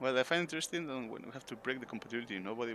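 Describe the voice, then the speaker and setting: With a Spanish accent, a man speaks at a very fast pace in a medium pitch, his intonation lively. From Spain. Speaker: game streamer. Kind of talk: casual gameplay commentary. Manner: halting, with many fillers.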